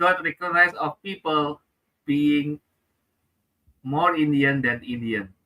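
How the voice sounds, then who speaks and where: Speaking at a very slow pace, a man with an Indonesian accent has a fairly high pitch and a bright, sharp tone. The recording sounds dry and close, with no echo. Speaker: comedian and public speaker. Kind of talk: interview.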